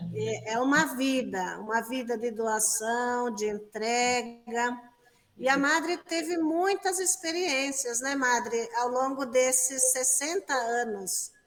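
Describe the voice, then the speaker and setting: A woman speaks very slowly at a high pitch with ordinary variation. Noticeable background noise sits behind her. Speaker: religious sister, interviewer. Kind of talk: interview. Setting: exhibition room.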